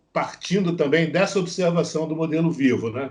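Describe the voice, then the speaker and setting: A man's fairly high-pitched voice. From Brazil, Rio de Janeiro. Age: 60s. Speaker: visual artist, former journalist. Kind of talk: interview. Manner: halting, many fillers and repetitions.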